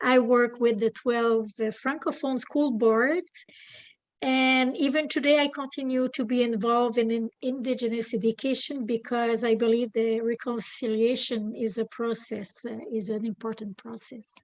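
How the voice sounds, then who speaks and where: A French accent at a moderate pace. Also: woman, fairly high pitch for a woman, fairly even intonation. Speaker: retired teacher, education consultant. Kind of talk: webinar presentation.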